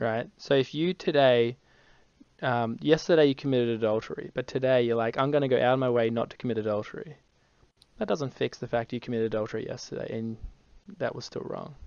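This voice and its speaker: A man speaks at a very fast pace. His medium pitch shows ordinary variation. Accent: Australian. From Australia, Brisbane. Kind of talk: evangelistic conversation.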